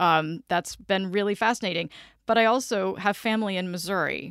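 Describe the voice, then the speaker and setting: In a plain, everyday voice, a woman talks at a fairly quick pace with medium pitch and fairly even intonation, on a very clean recording with a silent background. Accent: American. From US South, south Georgia (Vidalia). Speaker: public radio station manager. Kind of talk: interview. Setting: studio.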